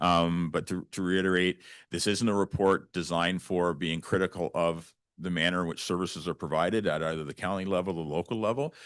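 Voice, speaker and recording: Against a quiet background, a man with a Canadian accent speaks in a very deep, low pitch with fairly even intonation. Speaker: county official presenting to council. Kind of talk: presentation to municipal council. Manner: fast; halting, many fillers and restarts.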